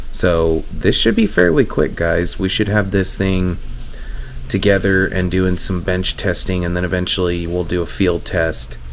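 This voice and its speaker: A man speaks at a very deep, low pitch and a fairly slow pace with fairly even intonation. Audible room echo and noticeable background noise surround him. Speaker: RC crawler hobbyist YouTuber. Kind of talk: casual DIY tutorial. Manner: hesitant with fillers.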